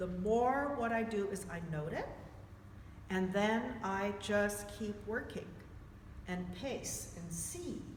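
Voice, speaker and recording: A woman with a medium-pitched voice and ordinary pitch variation speaks at a very slow pace with long, frequent pauses, with audible room echo and noticeable background noise. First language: not English. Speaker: movement therapy teacher. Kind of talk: workshop discussion.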